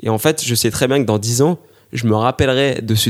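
A man at medium pitch, ordinary pitch variation and moderate pace, in a dry, close sound with no echo. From Paris region, France. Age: 20s. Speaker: amateur runner and military sports instructor. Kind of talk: interview. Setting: living room at home. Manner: hesitant with repetitions.

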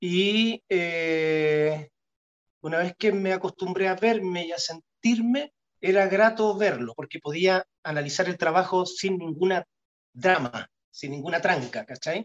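A man with a Chilean accent speaks at a fairly slow pace and high pitch, with ordinary pitch variation, in a dry, close sound with no echo. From Chile, Punta Arenas. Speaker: actor. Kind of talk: casual interview. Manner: halting, many repetitions and fillers.

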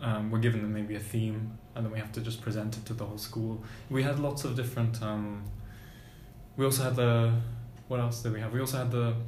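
In a flat, monotone delivery at a medium pitch, a man speaks at a moderate pace with long, frequent pauses, against noticeable background noise and audible room echo. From Germany. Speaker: university student. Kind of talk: casual chat. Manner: halting.

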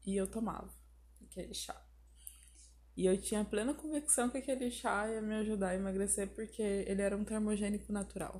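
With long, frequent pauses despite a fairly quick pace, a woman speaks at a medium pitch in a dark, mellow, somewhat breathy tone with ordinary pitch variation. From southern Brazil, Porto Alegre. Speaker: YouTuber. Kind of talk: personal monologue podcast.

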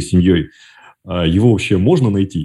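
Against a quiet background, a man speaks with a very deep, low pitch, a dark, mellow tone, a somewhat breathy quality and ordinary pitch variation. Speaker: podcast host. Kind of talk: interview. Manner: halting.

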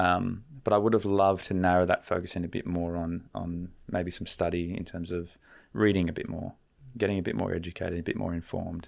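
With an Australian accent, a man speaks at a fairly quick pace in a very deep, low pitch with fairly even intonation, on a very clean recording with a silent background. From Australia, Canberra. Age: 20s. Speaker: relationship mentor. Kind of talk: casual chat.

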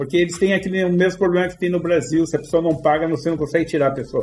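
Very fast male speech, its intonation fairly even. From Brazil. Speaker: front-end developer. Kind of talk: casual interview.

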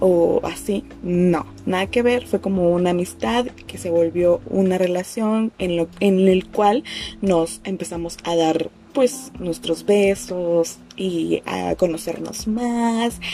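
Over music in the background, a woman speaks at a very slow pace with a Mexico City accent. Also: medium pitch for a woman, ordinary pitch variation. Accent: Mexico City Spanish (chilango). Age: 20s. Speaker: podcast host. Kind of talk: personal storytelling monologue. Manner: casual, slangy.

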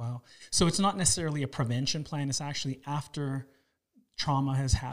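In a plain, everyday voice with a Canadian accent, a man speaks fairly quickly at a fairly high pitch with ordinary pitch variation, on a very clean recording with a silent background. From Toronto, Canada. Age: 40s. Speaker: podcast host. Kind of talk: interview.

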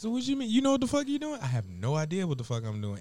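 Speaking high for a man, he sounds animated, his pitch swinging very widely. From US, Detroit. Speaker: podcast host and chef. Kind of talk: casual chat.

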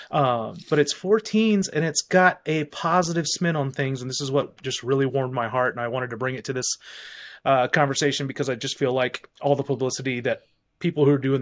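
A man with an ordinary speaking voice talks at a fairly quick pace in a medium pitch. His pitch variation is ordinary, on a very clean recording with a silent background. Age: 40s. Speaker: podcast host. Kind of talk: casual chat.

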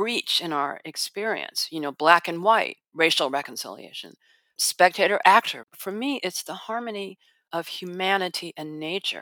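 A woman with an American accent speaks at a moderate pace in a bright, sharp tone at a medium pitch with ordinary pitch variation. Her loudness swings widely, and the sound is dry and close with no echo on a very clean recording with a silent background. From Chicago, US Midwest. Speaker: philosophy professor. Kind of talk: interview conversation.

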